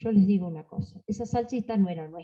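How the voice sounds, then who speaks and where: A woman's somewhat breathy, dark, mellow tone at a moderate pace with lively intonation. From Argentina, Salta. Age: 70s. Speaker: panelist on folk tradition. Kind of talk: panel talk. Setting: library panel with audience.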